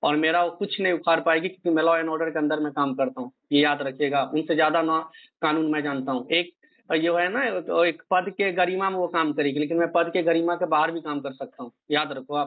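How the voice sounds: Fairly quick in pace, a man talks with fairly even intonation. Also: fairly high pitch for a man.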